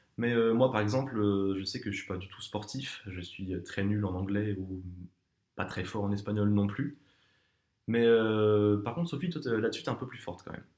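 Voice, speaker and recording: A man with a fairly low pitch speaks at a moderate pace, with ordinary pitch variation and big swings in loudness. The recording is very clean and the background silent. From southern France, near Perpignan. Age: 20s. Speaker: student, casting applicant. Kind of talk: casting video self-presentation. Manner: hesitant, many fillers.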